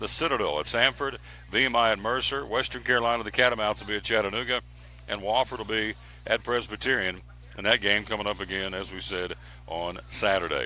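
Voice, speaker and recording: A man talks very fast at a fairly low pitch, his tone bright and sharp with vocal fry. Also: ordinary pitch variation. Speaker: sports radio host. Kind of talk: sports show rundown of scores and schedules. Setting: live broadcast from a restaurant. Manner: loud.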